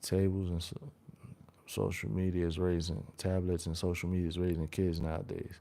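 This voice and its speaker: He has a very deep, low voice with a dark, mellow tone and an American accent. The man speaks at a moderate pace. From New York. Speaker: live streamer. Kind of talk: casual live-stream chat. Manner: halting, many repetitions.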